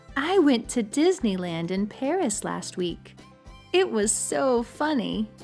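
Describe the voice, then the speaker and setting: A woman talks very slowly. Background music can be heard. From United States. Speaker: English teacher. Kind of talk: slow example sentences for repetition.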